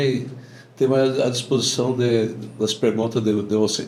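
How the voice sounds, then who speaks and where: Audible room echo surrounds a man speaking at a medium pitch. His delivery is fairly slow, in a monotone, flat intonation. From southern Brazil, Rio Grande do Sul (Lagoa Bonita do Sul). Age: 60s. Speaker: farmer. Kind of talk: casual interview.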